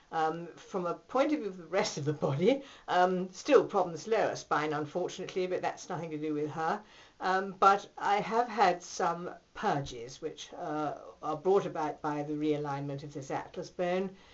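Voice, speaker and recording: In a British accent, a woman speaks at a moderate pace in a fairly low pitch, with ordinary pitch variation and big swings in loudness. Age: 60s. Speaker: patient giving a testimonial. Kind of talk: testimony. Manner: hesitant, with many fillers.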